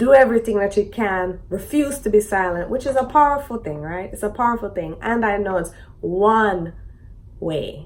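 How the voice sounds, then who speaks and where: This is a woman with a normal speaking voice and a fairly high pitch. She speaks at a moderate pace with ordinary pitch variation. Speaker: podcast host. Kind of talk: series introduction to camera.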